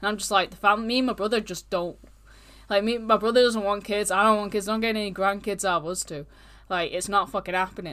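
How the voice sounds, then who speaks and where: Very fast and bright with a sharp tone, a woman speaks at medium pitch with a British accent on a very clean recording with a silent background. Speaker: true crime podcast host. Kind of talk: casual true crime storytelling. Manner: casual, animated.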